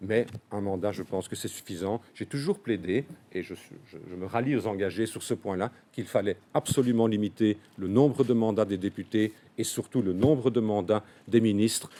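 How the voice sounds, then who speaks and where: A man's fairly low, dark, mellow voice at a moderate pace, with ordinary pitch variation and big swings in loudness. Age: 60s. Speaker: politician. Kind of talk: press conference. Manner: hesitant, many filler sounds.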